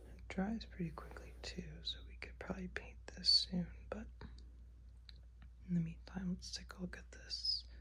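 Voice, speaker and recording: The speaker has a relaxed tone and a fairly slow pace. Noticeable background noise can be heard. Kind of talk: ASMR manicure video, casual talk to camera. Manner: slow, relaxed, quiet.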